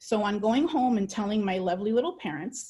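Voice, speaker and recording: Somewhat breathy and fairly high-pitched, a woman with a Spanish accent speaks in a dark, mellow tone. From El Salvador, moved to US at six. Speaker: dual language educator. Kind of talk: personal testimony; webinar presentation. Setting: online webinar.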